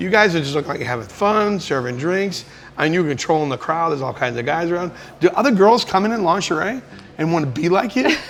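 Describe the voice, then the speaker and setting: A man with an American accent talks at a very fast pace and high pitch, with an animated tone. His intonation is lively, and there is noticeable background noise. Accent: Boston, mostly held back. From Boston area. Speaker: travel and food show host. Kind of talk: casual chat. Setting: in a bar.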